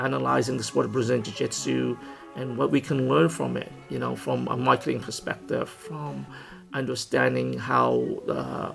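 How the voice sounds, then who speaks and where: Music plays behind a man whose speech moves at a moderate tempo. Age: 50s. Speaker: martial arts instructor, MMA gym owner. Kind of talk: casual talk to camera.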